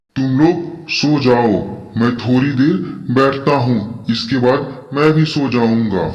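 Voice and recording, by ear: In a cartoonish character voice, a man speaks at a fairly slow pace with a medium pitch and ordinary pitch variation. Light background noise sits underneath.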